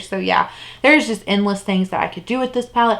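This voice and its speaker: Noticeable background noise sits under a woman speaking at medium pitch with ordinary pitch variation. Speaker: beauty youtuber. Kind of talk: product review monologue. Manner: fast; animated.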